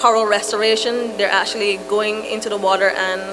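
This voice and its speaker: Music plays behind a woman speaking at a moderate pace and a medium pitch. The room has an audible echo. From Barbados. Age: 30s. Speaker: moderator, youth environmental activist. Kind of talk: panel moderation. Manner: halting.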